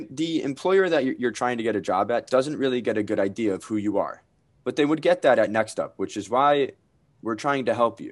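A man with an American accent, medium pitch and lively intonation, at a fairly quick pace over a quiet background. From Connecticut. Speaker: student podcast host. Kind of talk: casual chat.

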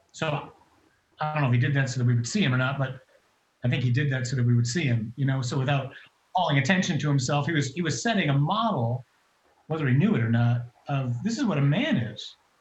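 The voice is somewhat breathy and very fast, with ordinary pitch variation. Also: man, fairly high pitch for a man. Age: 50s. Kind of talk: testimony.

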